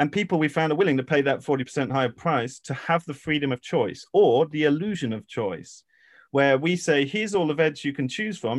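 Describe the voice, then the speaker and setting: Speaking at a moderate pace with an English accent, a man uses a fairly high pitch against a quiet background. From England. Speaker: regenerative farmer and educator. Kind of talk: expert interview.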